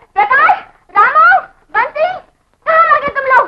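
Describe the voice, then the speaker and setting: A woman's squeaky, put-on character voice at an extremely high pitch, with lively intonation and a moderate pace. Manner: shouting.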